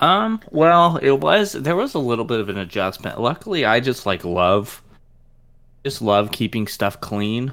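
A man talks fairly slowly in a medium pitch with lively intonation and an ordinary speaking voice. The recording is very clean, with a silent background. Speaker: podcast co-host. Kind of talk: casual chat.

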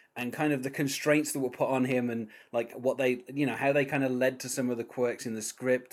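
A man speaks with a British accent at medium pitch. His pace is very fast. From Britain. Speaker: podcast host. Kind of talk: casual interview chat. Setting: remote call.

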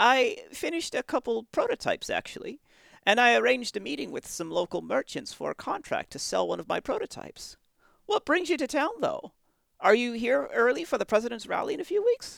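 A put-on character voice, high in pitch, moves at a fairly quick pace in a very clean recording with a silent background. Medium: audio drama. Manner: polite, earnest.

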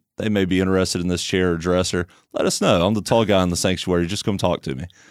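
Intonation stays fairly even as this man talks in a very deep, low voice. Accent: Alabama. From US South, Tuscaloosa, Alabama. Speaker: church member. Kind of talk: casual interview.

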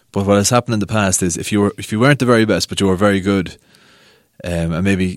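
A man speaks in a Cavan Irish accent on a very clean recording with a silent background. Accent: Irish (Ulster, Cavan). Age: 30s. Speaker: sports editor of a local newspaper. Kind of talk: casual chat.

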